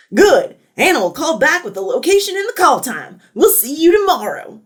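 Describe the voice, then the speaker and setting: A woman puts on a character voice at an extremely high pitch, raised and projected. Her pitch swings very widely and her loudness jumps a lot, all at a moderate pace. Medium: read story. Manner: forceful, brash.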